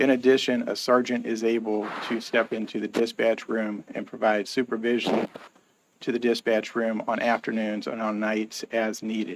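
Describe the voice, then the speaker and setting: A soft-spoken man's medium-pitched voice at a moderate pace, monotone and flat in intonation. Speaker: police chief. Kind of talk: council meeting presentation.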